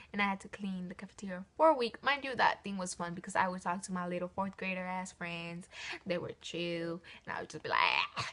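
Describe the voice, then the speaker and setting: Over noticeable background noise, a woman speaks in an animated tone at a fairly quick pace, with a medium pitch and ordinary pitch variation. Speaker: youtuber. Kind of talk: storytime vlog. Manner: stutter.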